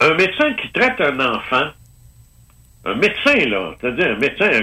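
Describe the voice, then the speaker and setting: With a Quebec accent, a man speaks at a moderate pace in a high pitch that swings very widely. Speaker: ufologist. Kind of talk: casual interview. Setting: phone call.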